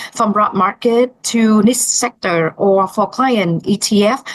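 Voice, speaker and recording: This woman talks at a medium pitch in a non-native accent. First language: not English. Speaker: financial planner. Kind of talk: interview answer.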